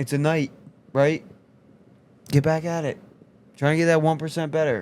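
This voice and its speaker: A man with a fairly high pitch speaks. He mumbles his words. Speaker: health coach. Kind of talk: casual chat. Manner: mumbling.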